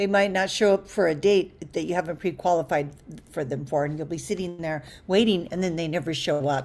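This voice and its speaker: An unremarkable speaking voice at a moderate pace. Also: woman. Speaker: dating coach. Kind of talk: online group coaching class. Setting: group video call. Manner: conversational, many fillers.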